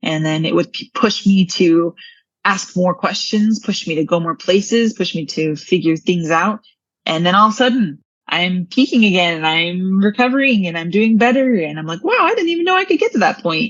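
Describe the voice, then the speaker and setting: With lively intonation and a somewhat breathy sound, a woman speaks at medium pitch and a moderate pace. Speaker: brain injury coach. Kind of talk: interview.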